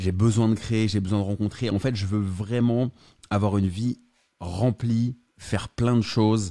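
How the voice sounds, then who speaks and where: A man speaks with a dark, mellow tone at a fairly low pitch and with fairly even intonation. The recording is very clean with a silent background, and the sound is dry and close with no echo. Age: 30s. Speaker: real estate investor and entrepreneur. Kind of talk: interview.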